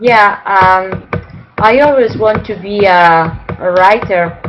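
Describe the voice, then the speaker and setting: In a Spanish accent, a woman of medium pitch speaks at a very slow pace with fairly even intonation over noticeable background noise. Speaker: novelist. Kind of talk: interview. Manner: halting.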